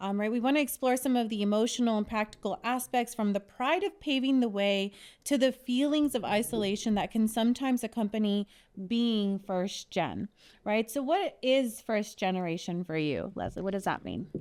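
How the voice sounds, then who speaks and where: At a moderate pace, a woman with a fairly high pitch and ordinary pitch variation speaks in a very clean recording with a silent background. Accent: American. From US, Mexican American family. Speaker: podcast host. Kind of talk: casual chat.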